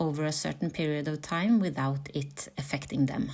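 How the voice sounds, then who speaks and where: A woman with a very deep, low pitch speaks at a moderate pace with ordinary pitch variation in a very clean recording with a silent background. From Norway, Oslo. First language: Norwegian. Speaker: content creator. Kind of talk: reflective narration.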